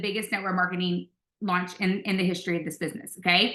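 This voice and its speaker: This woman speaks with a Louisiana accent. Her tone is bright and sharp. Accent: Southern US (Louisiana). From US South, South Louisiana. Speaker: network marketing leader. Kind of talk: motivational video call presentation. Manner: animated.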